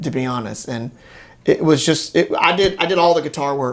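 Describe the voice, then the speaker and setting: A man speaks at a fairly quick pace with a Louisiana accent. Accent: Southern US, Louisiana. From Bunkie, Louisiana. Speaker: guitarist and singer. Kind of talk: interview answer.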